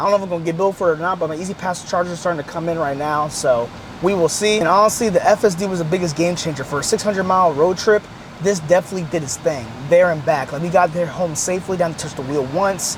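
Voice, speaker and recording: Talking at a very fast pace, a man uses a high-pitched voice with ordinary pitch variation. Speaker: car YouTuber. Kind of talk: casual vlog review. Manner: halting, repetitive; casual, slangy.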